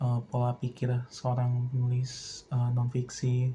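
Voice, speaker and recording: Somewhat breathy and dark, mellow in tone, a man's voice moves at a fairly slow pace. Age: 20s. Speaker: film student. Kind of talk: personal monologue. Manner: hesitant, many filler sounds.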